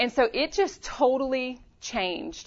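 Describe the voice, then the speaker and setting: A woman with a Louisiana accent talks with lively intonation. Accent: Southern US (Louisiana). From Louisiana, US South. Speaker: women's ministry leader, pastor's wife. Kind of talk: conference workshop talk. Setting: stage with audience.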